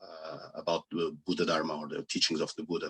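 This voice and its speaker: A man with a non-native accent comes through in a dry, close sound with no echo. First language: not English. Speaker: Buddhist teacher. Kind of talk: Dharma talk. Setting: video call. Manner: halting.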